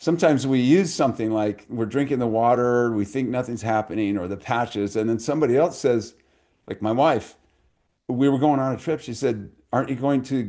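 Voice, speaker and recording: A man talks at medium pitch and a moderate pace. His tone is dark and mellow. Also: quiet background. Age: 70s. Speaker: chiropractor. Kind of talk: panel discussion. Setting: video call.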